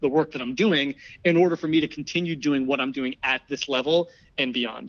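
With a normal speaking voice and an American accent, a man talks at a fairly high pitch with ordinary pitch variation. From New Jersey, US. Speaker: digital archivist and video producer. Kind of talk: casual interview.

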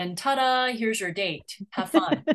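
A woman with an ordinary speaking voice, lively intonation and a moderate pace. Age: 50s. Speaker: podcast host and matchmaker. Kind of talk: interview.

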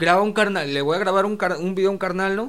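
The man's voice is high-pitched with fairly even intonation. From Mexico, Naucalpan (State of Mexico). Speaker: rapper. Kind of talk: casual chat.

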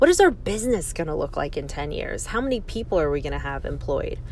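Noticeable background noise and audible room echo around a woman with an American accent. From New Jersey. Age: 30s. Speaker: real estate agent and podcast host. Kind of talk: solo podcast monologue.

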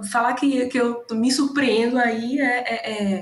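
A woman speaks with a Bahian accent at a fairly high pitch. Her intonation is fairly even. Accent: Bahian Brazilian Portuguese. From Bahia, Brazil. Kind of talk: casual chat.

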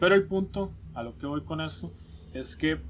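A somewhat breathy man speaks at a fairly slow pace with a Costa Rican accent. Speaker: podcast co-host. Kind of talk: casual chat.

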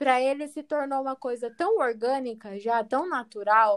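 A woman speaks at a fairly slow pace, her voice high-pitched with lively intonation. The recording is very clean with a silent background. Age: 20s. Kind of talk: casual interview.

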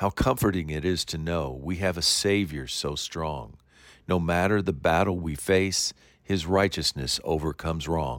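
A man's very deep, low voice at a fairly slow pace, on a very clean recording with a silent background. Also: ordinary pitch variation. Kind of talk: devotional poem reading aloud, a prayer addressed to God. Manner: earnest, measured and reverent, with a rhythmic rhyming cadence.

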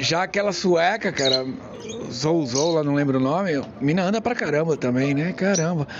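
Noticeable background noise is present. A man with a fairly high pitch speaks at a moderate pace with ordinary pitch variation. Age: 40s. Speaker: podcast host. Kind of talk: casual monologue. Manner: animated.

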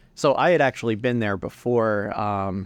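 An unremarkable speaking voice talks at a moderate pace with ordinary pitch variation, the sound dry and close with no echo over a quiet background. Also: man. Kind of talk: casual chat.

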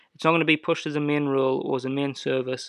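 A man at a medium pitch with an English accent, over a quiet background. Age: 20s. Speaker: lawn care business owner. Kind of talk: solo podcast monologue. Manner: casual, animated.

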